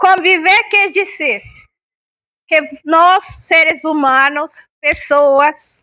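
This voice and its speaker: Projecting her raised voice at an extremely high pitch, a woman with a bright, sharp tone speaks at a very slow pace with ordinary pitch variation and long, frequent pauses. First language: Spanish (speaking Portuguese). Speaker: talk speaker on palliative care. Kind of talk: public talk. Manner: interactive, questions to audience.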